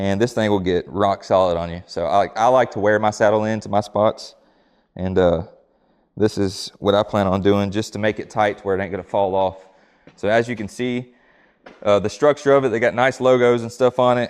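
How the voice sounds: The voice moves at a moderate pace with fairly even intonation. Its tone is clear and smooth, slightly mellow. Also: man, fairly low pitch for a man.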